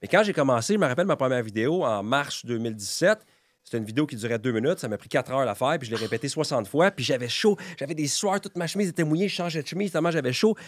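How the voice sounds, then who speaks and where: Talking at a very fast pace, a man with a fairly high pitch uses an animated tone and very wide pitch swings. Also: dry, close sound with no echo. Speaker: real estate broker and content creator. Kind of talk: podcast interview.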